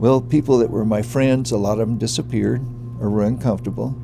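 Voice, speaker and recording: Over music in the background, a man speaks at a medium pitch with fairly even intonation. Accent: American. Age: old. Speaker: former congressional candidate. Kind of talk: documentary interview answer. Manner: hesitant, halting.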